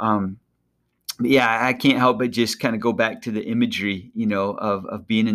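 At a moderate pace, a man speaks at medium pitch with a monotone, flat intonation. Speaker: podcast host. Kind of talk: devotional podcast, casual chat with prayer. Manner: casual, joking.

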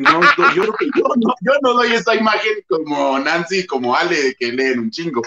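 A man with a Mexican accent, fairly slow pace and very wide pitch swings. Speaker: booktuber. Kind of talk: casual chat.

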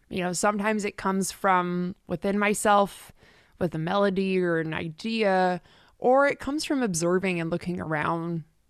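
In an ordinary speaking voice, a woman talks at medium pitch and a moderate pace, with ordinary pitch variation against a quiet background. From Canada, Richmond near Vancouver. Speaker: singer-songwriter. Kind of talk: casual interview.

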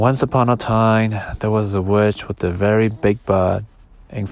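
The speaker reads aloud. It is an unforced reading voice.

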